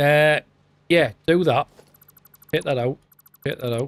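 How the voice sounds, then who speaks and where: This is a man talking in a Teesside accent. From northern England, Redcar (Teesside). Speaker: gaming streamer. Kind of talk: live stream gameplay commentary. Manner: casual, chatty.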